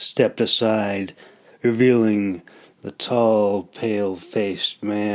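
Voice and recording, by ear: Natural-voiced reading out loud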